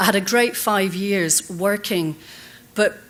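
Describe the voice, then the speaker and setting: A woman talks with a Scottish accent. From Scotland. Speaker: conference speaker on leadership. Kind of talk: conference keynote talk. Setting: stage with audience.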